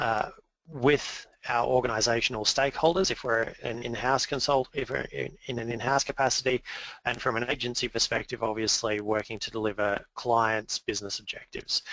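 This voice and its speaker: A man with an Australian accent speaks at medium pitch. His pace is fairly quick and his intonation fairly even. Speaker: awards executive chair presenting a webinar. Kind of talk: webinar presentation. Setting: webinar. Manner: hesitant fillers (um, uh).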